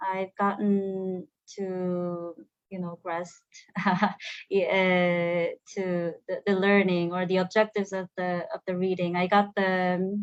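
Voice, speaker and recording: A woman speaks at a very slow pace, in a medium pitch with monotone, flat intonation. The sound is dry and close, with no echo. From Korea. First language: Korean. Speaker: program alumna, human resources officer. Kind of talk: online panel interview. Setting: online video stream. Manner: halting, many fillers and repetitions.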